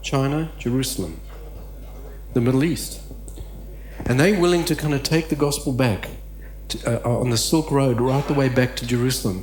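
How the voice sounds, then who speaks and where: Music plays in the background as a man speaks at a moderate pace with audible room echo. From Southern Africa, then Australia. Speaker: conference speaker, missional theologian. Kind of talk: conference talk. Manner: halting, many fillers.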